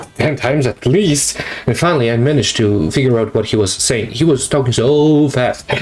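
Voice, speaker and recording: A man talks at a fairly quick pace and medium pitch, with ordinary pitch variation. His loudness stays very even over noticeable background noise. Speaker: art YouTuber. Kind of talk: casual vlog commentary. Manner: halting, self-correcting.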